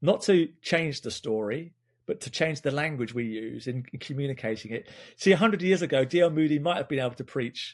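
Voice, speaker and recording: A man with an English accent talks at a fairly quick pace, with ordinary pitch variation, over a quiet background. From England. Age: 50s. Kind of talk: casual chat.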